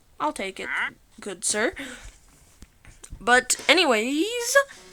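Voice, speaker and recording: Her voice is high for a woman, with very wide pitch swings. Noticeable background noise runs underneath. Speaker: gaming YouTuber. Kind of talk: gameplay commentary. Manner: casual, filler-heavy.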